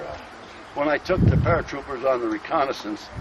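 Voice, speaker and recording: American-accented male speech, fairly quick in pace, with noticeable background noise behind it. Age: 70s. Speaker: retired army general, war veteran. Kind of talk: battlefield recollection, casual talk. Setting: outdoors.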